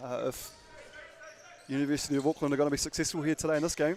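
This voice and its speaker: Speaking with a New Zealand accent, a man has a fairly high voice. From New Zealand, Dunedin. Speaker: basketball commentator. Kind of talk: live commentary. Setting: courtside commentary, off camera. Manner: animated.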